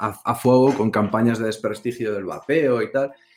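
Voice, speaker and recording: In a Castilian accent, a man talks at medium pitch. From Spain. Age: 40s. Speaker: vaping video reviewer. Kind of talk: casual chat.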